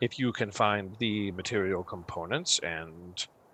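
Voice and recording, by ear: A passage read aloud in a natural voice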